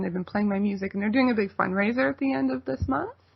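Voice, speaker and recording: There is noticeable background noise behind this woman. Her medium-pitched voice has lively intonation. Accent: Canadian. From Toronto, Canada. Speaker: folk singer-songwriter. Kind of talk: radio interview.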